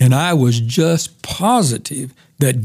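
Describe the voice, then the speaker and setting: A man's somewhat breathy voice at a medium pitch. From US, moved around; born in Oklahoma. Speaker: retired pastor and Bible teacher. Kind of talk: casual interview, personal testimony.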